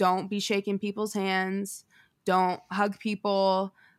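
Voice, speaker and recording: In a very clean recording with a silent background, a woman with an ordinary speaking voice, an American accent and medium pitch speaks at a moderate pace. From Denver, Colorado. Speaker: singer. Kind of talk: casual chat.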